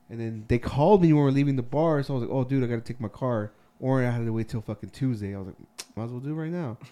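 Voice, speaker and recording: Noticeable background noise behind very fast talk with ordinary pitch variation. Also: man, medium pitch for a man. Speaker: podcast co-host. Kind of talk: casual banter podcast chat.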